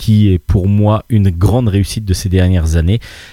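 A man with a fairly low pitch and a dark, mellow, somewhat breathy tone speaks at a moderate pace in a very clean recording with a silent background. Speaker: radio host. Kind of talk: casual chat. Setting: bar.

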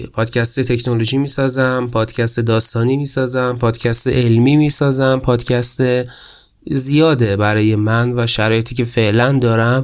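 At a moderate pace, a man speaks with a monotone, flat intonation and very even loudness. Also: medium pitch for a man. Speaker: podcast host. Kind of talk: solo podcast monologue. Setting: home room.

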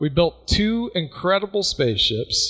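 A man with lively intonation. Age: 40s. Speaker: science podcast co-host. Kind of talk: casual chat. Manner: animated.

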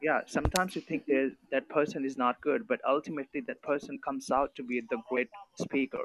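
With a plain, everyday voice, a man speaks at a fairly quick pace and fairly high pitch, the sound dry and close with no echo. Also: ordinary pitch variation. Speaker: podcast participant. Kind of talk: casual group discussion. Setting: online voice call.

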